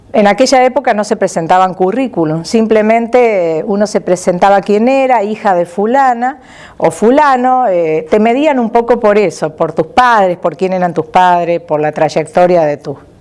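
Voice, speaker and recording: A woman talks at a moderate pace in an ordinary speaking voice, her medium pitch moving with lively intonation. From Argentina, Córdoba province (Las Varillas). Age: 60s. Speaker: retired administrative worker. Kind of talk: life story interview.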